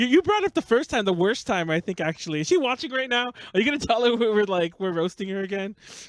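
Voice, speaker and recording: A man with a Los Angeles accent, high pitch, lively intonation and a very fast pace, in a dry, close sound with no echo. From Los Angeles, US West Coast. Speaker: podcast host. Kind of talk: casual chat. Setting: live stream. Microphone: audio mix issue.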